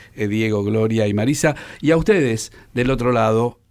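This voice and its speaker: A voice in a Rioplatense accent with ordinary pitch variation, on a very clean recording with a silent background. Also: man. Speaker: radio host. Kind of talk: radio interview.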